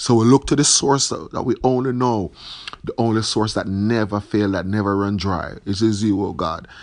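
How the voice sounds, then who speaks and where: A man's fairly low voice, an unremarkable speaking voice, with ordinary pitch variation at a moderate pace. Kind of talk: fervent prayer. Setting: online video message. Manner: earnest, pleading; repetitive, fervent.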